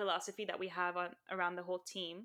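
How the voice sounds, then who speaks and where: A woman with a bright, sharp tone in a very clean recording with a silent background. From Saudi Arabia and Lebanon, Armenian family. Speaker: impact investor and designer. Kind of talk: interview.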